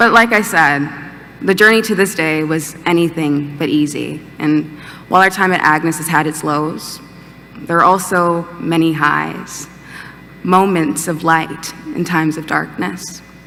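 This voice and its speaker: Backed by music, a woman with an American accent talks at a fairly slow pace, her pitch fairly low with ordinary variation. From Georgia, USA. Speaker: college student giving a commencement speech. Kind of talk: commencement speech. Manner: upbeat, humorous, warm.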